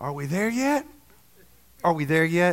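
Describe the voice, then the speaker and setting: A man is speaking. He has a Southern US accent. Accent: Southern US, noticeable. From Alabama. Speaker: preacher. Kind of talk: sermon. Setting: church service with audience.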